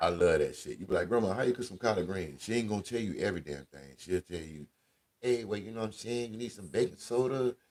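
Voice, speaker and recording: A man's voice with ordinary pitch variation. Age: 40s. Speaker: radio host. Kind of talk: casual chat. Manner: animated.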